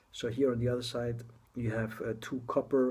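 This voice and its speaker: A somewhat breathy male voice at medium pitch, monotone and flat, at a moderate pace. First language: not English. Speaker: tech blogger reviewing a gadget. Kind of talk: casual product introduction video. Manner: halting, many fillers and restarts.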